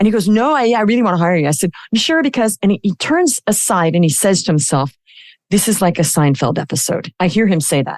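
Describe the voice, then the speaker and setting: Talking very fast in an animated tone, a woman with a medium-pitched voice swings her pitch very widely while keeping her loudness very even, in a dry, close recording with no echo. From Australia. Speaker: business coach. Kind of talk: interview storytelling.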